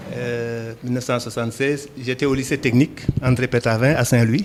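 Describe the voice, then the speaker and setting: There is noticeable background noise. Through it, a male voice talks. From Senegal, Dakar. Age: 60s. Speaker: entrepreneur, poultry farmer. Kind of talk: interview. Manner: hesitant fillers (euh).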